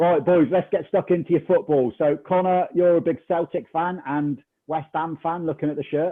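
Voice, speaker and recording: Here a man talks at a moderate pace with hardly any pauses. His pitch is high, with ordinary variation. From Scotland. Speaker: football podcast host. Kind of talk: casual chat.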